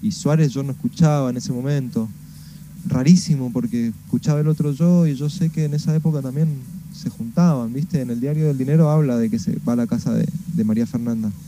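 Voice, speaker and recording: A normal speaking voice from a man, fairly high in pitch, at a fairly quick pace with lively intonation. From Argentina, Mendoza. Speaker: musician. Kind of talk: radio interview. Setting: video call.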